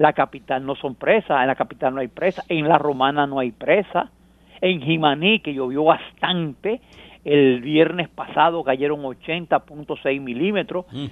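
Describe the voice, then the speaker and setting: In an unremarkable speaking voice, a man talks at a fairly slow pace, his fairly high pitch rising and falling in an ordinary way. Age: 60s. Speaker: agronomist. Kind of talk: radio interview.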